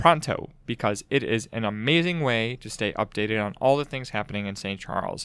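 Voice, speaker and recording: In a very clean recording with a silent background, a man at medium pitch speaks in an ordinary speaking voice. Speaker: podcast host. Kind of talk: casual chat. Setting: studio.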